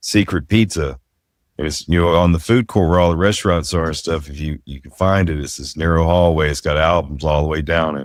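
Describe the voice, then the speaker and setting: In a Southern US accent, a man with a very deep, low pitch speaks at a fairly quick pace with fairly even intonation and big swings in loudness, on a very clean recording with a silent background. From US South. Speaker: podcast host. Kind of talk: casual chat.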